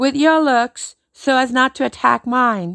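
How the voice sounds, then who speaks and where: A high-pitched woman speaks at a fairly slow pace with lively intonation. The recording is very clean with a silent background and a dry, close sound with no echo. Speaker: stand-up comedian. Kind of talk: angry rant. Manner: indignant, emphatic, sarcastic.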